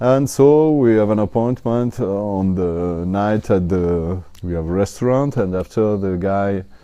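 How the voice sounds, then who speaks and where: Over a quiet background, a man talks very slowly in a fairly low pitch, his tone dark and mellow and his pitch variation ordinary. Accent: French. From France, Italian parents. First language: French. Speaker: honey seller and Vietnam researcher. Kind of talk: interview storytelling. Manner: halting, many fillers.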